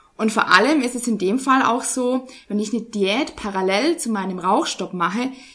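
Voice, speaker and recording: Amid noticeable background noise, a woman speaks at a moderate pace in a fairly high pitch with ordinary pitch variation. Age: 20s. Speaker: nutrition scientist. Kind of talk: interview.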